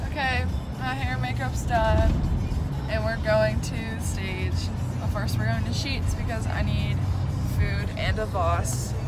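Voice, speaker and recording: Music plays in the background as a woman talks. Her pace is fairly slow, broken by long, frequent pauses. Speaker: student performer vlogger. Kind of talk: casual vlog chat.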